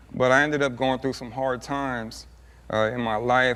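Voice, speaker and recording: Here a man talks with an American accent. His pace is moderate. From Southern California, Montclair. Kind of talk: TV interview. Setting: TV studio couch. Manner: casual, many fillers.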